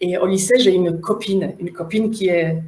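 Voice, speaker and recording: A woman speaks at a fairly slow pace. Her voice is fairly low-pitched, with a dark, mellow tone. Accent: Polish. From Poland. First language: Polish (speaking French). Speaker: facilitator and trainer. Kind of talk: online workshop talk. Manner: loud, smiling delivery.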